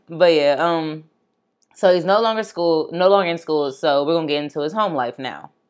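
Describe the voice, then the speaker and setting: Using a normal speaking voice, a woman talks at a fairly low pitch with ordinary pitch variation. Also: fairly quick pace. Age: 20s. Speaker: true crime podcast host. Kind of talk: casual chat. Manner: laughs often.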